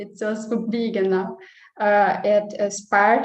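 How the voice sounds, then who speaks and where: Her pitch sits fairly high, and she speaks with a Brazilian Portuguese accent. The woman's intonation stays monotone and flat. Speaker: nutritionist. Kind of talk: personal sharing in online meeting. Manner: halting, many hesitations.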